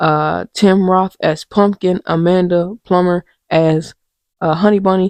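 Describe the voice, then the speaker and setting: Quiet and dark, mellow in tone, a woman speaks in a monotone, flat intonation at a very slow pace, with a dry, close sound and no echo. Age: 30s. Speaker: podcast host. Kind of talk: casual chat. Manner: quiet, talking low; halting, many fillers.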